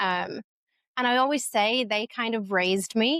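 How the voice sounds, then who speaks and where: In an American accent, a woman speaks at a moderate pace with a fairly high pitch and ordinary pitch variation. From northern England, Leeds, Yorkshire. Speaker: community founder. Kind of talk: podcast interview.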